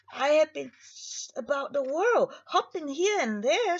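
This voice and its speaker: At a fairly slow pace, a woman uses a put-on character voice pitched extremely high. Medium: read story. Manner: proud, storytelling.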